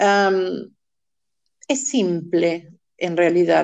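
A woman speaks at a very slow pace. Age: 60s. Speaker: motivational coach and singing teacher. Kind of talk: casual interview.

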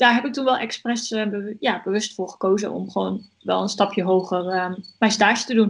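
Fairly even intonation in a normal speaking voice. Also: woman. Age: 20s. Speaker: student. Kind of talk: podcast interview.

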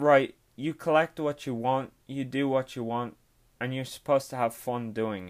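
A man speaks in an Irish accent at a medium pitch with fairly even intonation. His loudness swings widely in a very clean recording with a silent background. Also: moderate pace. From Ireland. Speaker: sports card collector and podcaster. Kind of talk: casual solo podcast tutorial. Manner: casual, hesitant with fillers.

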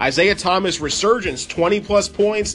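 At a moderate pace, a man talks while noticeable background noise carries on. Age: 20s. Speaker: sports podcast host. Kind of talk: casual sports talk. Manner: animated.

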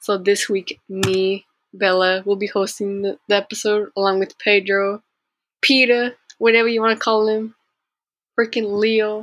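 A woman speaks in a medium pitch with monotone, flat intonation. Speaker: podcast co-host. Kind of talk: casual chat.

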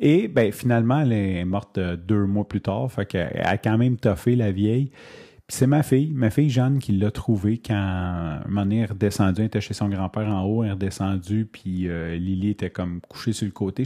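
In a Quebec accent, a man with a fairly low pitch and a dark, mellow tone talks fairly quickly against a quiet background, the sound dry and close with no echo. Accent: Québécois French. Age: 30s. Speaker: podcaster. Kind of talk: personal monologue. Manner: hesitant, many fillers.

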